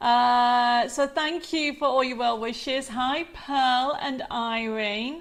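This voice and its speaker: Speaking in an English accent at a very slow pace, the voice moves with ordinary pitch variation and hardly any pauses. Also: woman, high pitch for a woman. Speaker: craft presenter. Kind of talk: live stream chat. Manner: animated.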